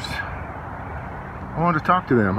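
Background noise is noticeable throughout. The voice belongs to a man. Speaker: travel vlogger. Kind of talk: casual vlog chat. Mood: relaxed, mildly unimpressed. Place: open country. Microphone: phone near.

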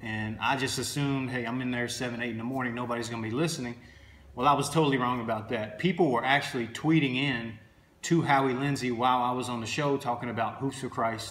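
Talking at a very fast pace, a man's voice carries audible room echo. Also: fairly even intonation. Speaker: basketball trainer. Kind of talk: casual vlog chat. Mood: earnest, motivational. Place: home room. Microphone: phone near.

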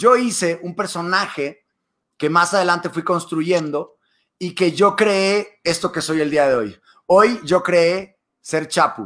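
A man talks very slowly in a high voice with ordinary pitch variation. The recording is very clean, with a silent background. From Mexico, Monterrey. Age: 20s. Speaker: TV presenter and YouTuber. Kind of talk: casual interview.

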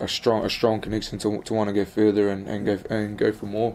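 Dark and mellow in tone, a man talks at a fairly quick pace with a fairly low pitch. His intonation stays monotone and flat. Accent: New Zealand. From New Zealand, Wellington (Upper Hutt). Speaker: professional rugby player. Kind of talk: interview. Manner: halting, many fillers and repetitions.

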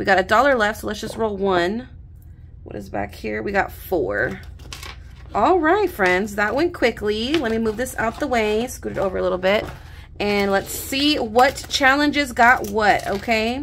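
With light background noise, a woman talks at a moderate pace and a fairly high pitch. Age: 30s. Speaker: budgeting YouTuber. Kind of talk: casual vlog tutorial. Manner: animated. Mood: cheerful, relaxed. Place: home room. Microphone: studio mic.

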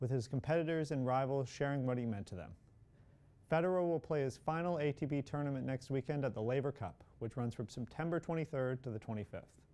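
With a dark, mellow tone, a man talks at a fairly quick pace and varies his pitch in an ordinary way. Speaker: student sports anchor. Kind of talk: sports news reading. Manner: brisk, crisp sportscaster delivery of scores and stats.

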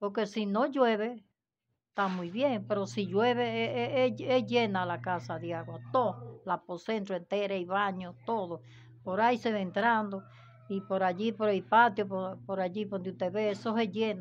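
Lively intonation at a fairly slow pace, with faint music in the background. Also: woman. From Dominican Republic. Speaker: elderly resident seeking aid; interviewee. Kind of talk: interview testimony. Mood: pleading, hopeful about help. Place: home room. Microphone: handheld.

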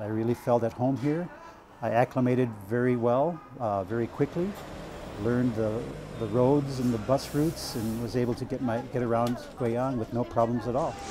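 This man has an American accent and a medium pitch, speaking at a moderate pace with fairly even intonation. There is noticeable background noise, and the sound is dry with no echo. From United States. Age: 50s. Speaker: language student and English tutor. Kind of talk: documentary interview. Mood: calm, content. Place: home room. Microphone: lapel.

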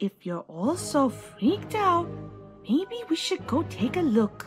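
Over faint music in the background, a female-sounding, put-on character voice speaks fairly slowly at a fairly high pitch for a woman. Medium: audio drama.

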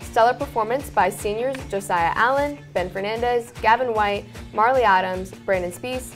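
A woman speaks over faint background music. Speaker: student news anchor. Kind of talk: news report. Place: studio. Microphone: lapel.

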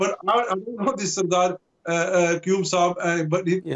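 At a moderate pace, a man speaks with a high pitch for his sex. There is light background noise. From Pakistan, Rawalpindi area; Pakistan. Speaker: radio presenter and party supporter; radio presenter. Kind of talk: political debate. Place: home room. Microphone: video call.

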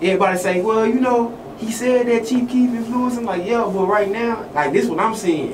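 Noticeable background noise sits under speech that runs at a fairly quick pace with hardly any pauses. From Louisiana. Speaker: interviewer. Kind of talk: casual interview. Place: studio.

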